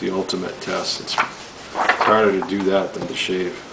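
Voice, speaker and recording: A man's voice amid noticeable background noise. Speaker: knife reviewer. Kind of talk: product review demo. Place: home room. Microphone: camera far.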